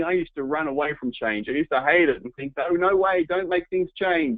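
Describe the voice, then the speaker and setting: A man in an Australian accent at a moderate pace. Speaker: home business entrepreneur, webinar presenter. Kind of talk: webinar presentation. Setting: online webinar.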